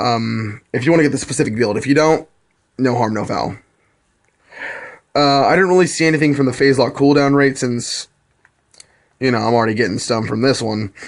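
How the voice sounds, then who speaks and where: A man talks at a fairly quick pace and medium pitch, with ordinary pitch variation. Long, frequent pauses break up his speech. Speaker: gaming video creator. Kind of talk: casual game tutorial. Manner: fast.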